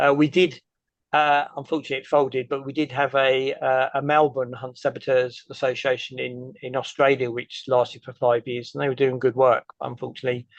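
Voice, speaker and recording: The speaker has an English accent and talks at a fairly quick pace in a monotone, flat intonation. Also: man, medium pitch for a man. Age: 60s. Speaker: activist. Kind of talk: Q&A answers after a presentation. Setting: meeting with audience.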